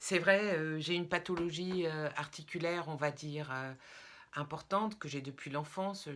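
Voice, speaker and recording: Very deep and low in pitch, a woman speaks at a very slow pace with ordinary pitch variation. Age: 60s. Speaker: product seller / wellness vlogger. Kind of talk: testimonial sales pitch. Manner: hesitant, many filler sounds.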